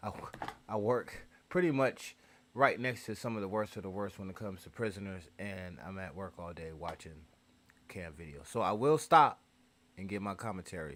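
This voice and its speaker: In a plain, everyday voice, a man talks at a moderate pace and fairly low pitch, with lively intonation and big swings in loudness. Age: 40s. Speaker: reaction channel streamer. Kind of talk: casual live stream commentary.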